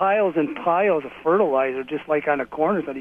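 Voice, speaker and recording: Fairly high-pitched male voice at a fairly quick pace. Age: 60s. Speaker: caller, Vietnam-era Air Force veteran. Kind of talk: casual chat. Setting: phone call. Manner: halting, many fillers.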